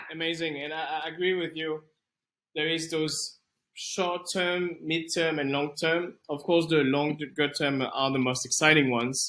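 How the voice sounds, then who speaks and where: A fairly high-pitched man with a French accent, bright, sharp tone, fairly even intonation and a fairly slow pace. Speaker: podcast host, venture capitalist. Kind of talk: interview.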